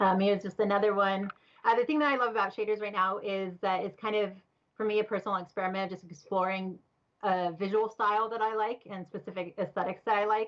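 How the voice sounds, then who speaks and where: Very fast and fairly even in intonation, a woman speaks at a medium pitch. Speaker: visual artist presenting work. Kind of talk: presentation.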